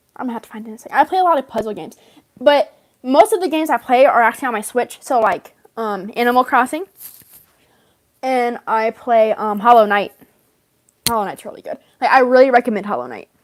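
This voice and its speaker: Pausing long and often, a woman with a high pitch talks at a very fast pace with lively intonation and big swings in loudness, recorded dry and close with no echo. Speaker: livestreamer and fan story creator. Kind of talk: casual livestream chat. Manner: talkative, rambling.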